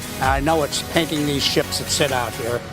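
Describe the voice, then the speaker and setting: A man speaks at a moderate pace with a fairly high pitch and ordinary pitch variation, over noticeable background noise. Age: 70s. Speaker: volunteer beach cleaner. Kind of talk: interview testimony. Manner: halting.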